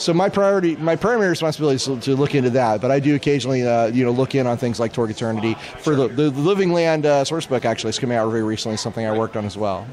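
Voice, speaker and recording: A man talks at a very fast pace with hardly any pauses, his pitch medium and his intonation lively. Noticeable background noise runs underneath. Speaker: game designer. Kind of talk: interview answer.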